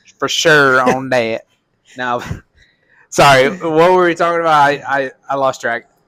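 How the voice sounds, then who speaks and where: A man's bright, sharp voice with a Southern accent, fairly slow and marked by long, frequent pauses, on a very clean recording with a silent background. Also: fairly high pitch for a man, ordinary pitch variation. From Arkansas, Little Rock. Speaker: podcast host. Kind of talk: political chat. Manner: casual.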